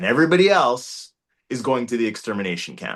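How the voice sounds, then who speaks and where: This man has an ordinary speaking voice at a medium pitch, with a Canadian accent. His intonation is lively. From Canada (Toronto). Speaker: actor. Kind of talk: interview answer.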